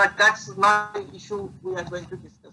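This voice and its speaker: A man speaks in a raised, projected voice at a moderate pace. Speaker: professor. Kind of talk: lecture. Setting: online lecture. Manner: halting, many fillers.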